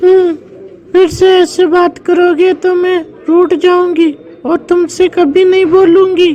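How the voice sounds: An extremely high, cartoonish character voice, fairly slow, with flat, monotone intonation.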